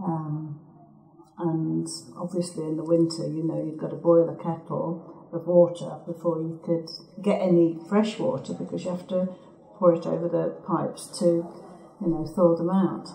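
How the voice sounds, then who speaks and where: Speech with an English Midlands accent at a moderate pace and fairly even intonation, amid noticeable background noise and audible room echo. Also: woman, fairly low pitch for a woman. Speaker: local resident. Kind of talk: oral history interview.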